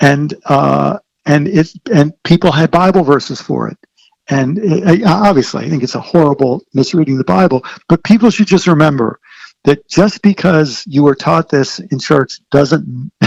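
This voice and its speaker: With an American accent and a plain, everyday voice, a man speaks at a fairly high pitch and moderate pace, his intonation lively and the sound dry and close with no echo. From Maryland, US. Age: 60s. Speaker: author and theologian. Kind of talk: podcast interview.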